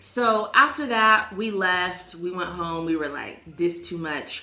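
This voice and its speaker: A woman at a medium pitch talks at a fairly slow pace with hardly any pauses, her animated tone and lively intonation riding big swings in loudness, with audible room echo and noticeable background noise. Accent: American. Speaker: vlogger. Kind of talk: casual storytime vlog. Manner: animated, chatty.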